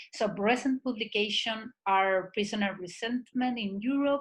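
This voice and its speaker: A woman with a Spanish accent, fairly high pitch, fairly even intonation, a somewhat breathy sound and a moderate pace. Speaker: seminar moderator. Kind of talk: webinar introduction.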